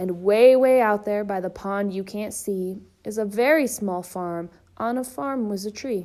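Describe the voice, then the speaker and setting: A woman puts on a gruff, growling character voice at a medium pitch. She keeps a moderate pace in a very clean recording with a silent background. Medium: read story. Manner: blustering.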